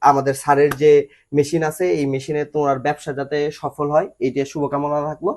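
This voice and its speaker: Monotone and flat, a man's fairly high voice carries through. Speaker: machinery company presenter. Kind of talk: promotional video presentation.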